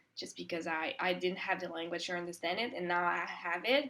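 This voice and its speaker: A woman in a Quebec accent, fairly low in pitch, at a fairly quick pace with ordinary pitch variation. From Quebec, Montreal. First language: French. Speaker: composer. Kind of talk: interview. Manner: hesitant, many fillers.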